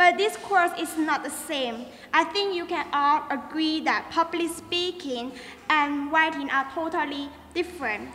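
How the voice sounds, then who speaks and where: A woman speaks in a raised, projected voice. Her pitch is extremely high, with ordinary variation. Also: fairly slow pace. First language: Chinese. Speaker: student. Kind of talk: speech.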